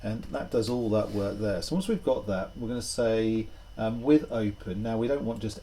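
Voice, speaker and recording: This man has a dark, mellow tone, fairly low in pitch and somewhat breathy. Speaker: programming tutor. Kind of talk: tutorial. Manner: halting.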